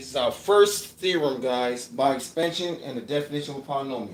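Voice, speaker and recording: A man with a fairly high pitch speaks amid audible room echo. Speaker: math tutor. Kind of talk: livestream lecture. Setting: livestream with camera. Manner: casual, repetitive.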